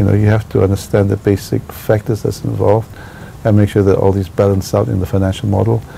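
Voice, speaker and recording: A man talks at a very fast pace in a fairly low pitch with ordinary pitch variation. Noticeable background noise is present. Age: 60s. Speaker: architect. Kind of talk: interview. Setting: his office. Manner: hesitant, many fillers.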